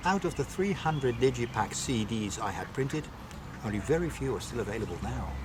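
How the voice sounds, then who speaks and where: Over noticeable background noise, a man talks at a fairly quick pace with very wide pitch swings. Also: medium pitch for a man. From Netherlands. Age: 60s. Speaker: metal singer. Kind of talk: interview answers.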